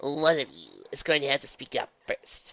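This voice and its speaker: A man speaks in a put-on character voice pitched fairly high. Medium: read story.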